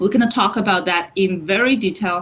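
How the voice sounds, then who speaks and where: In a plain, everyday voice, a woman talks at medium pitch and a moderate speed, her pitch varying in an ordinary way. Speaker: university finance lecturer. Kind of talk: online lecture. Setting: online class, students muted.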